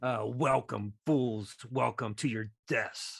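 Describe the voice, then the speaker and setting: A booming put-on character voice from a man, medium in pitch with fairly even intonation, very slow, on a very clean recording with a silent background. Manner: menacing, taunting.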